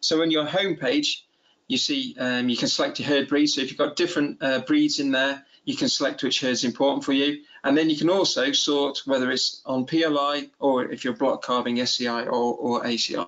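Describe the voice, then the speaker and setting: Here a man speaks with a fairly high pitch and ordinary pitch variation. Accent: Cheshire. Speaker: dairy farmer. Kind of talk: webinar presentation. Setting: video call. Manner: fast talker; halting, many repeated words.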